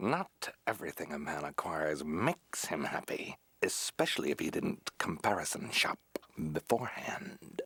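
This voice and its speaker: A cartoonish character voice from a man, fairly low in pitch, at a moderate pace. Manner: pompous, formal.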